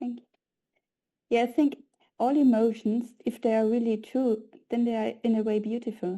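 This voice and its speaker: In a Viennese accent, a woman speaks at a moderate pace in a fairly high voice with a dark, mellow tone and fairly even intonation. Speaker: presenter. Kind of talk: discussion reply.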